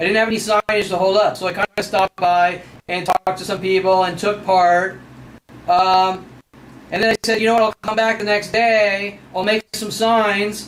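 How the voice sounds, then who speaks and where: A man with an American accent speaks in a high pitch with monotone, flat intonation. His pace is moderate, and the sound is dry and close with no echo. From Southern California. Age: 40s. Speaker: vlogger. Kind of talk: personal video monologue. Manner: rambling, hesitant with fillers.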